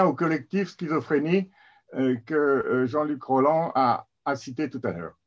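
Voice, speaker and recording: The man talks very slowly. His voice is rather high and its pitch varies in a usual way. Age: 60s. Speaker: mental health advocate, recovered patient. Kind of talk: webinar presentation. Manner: halting.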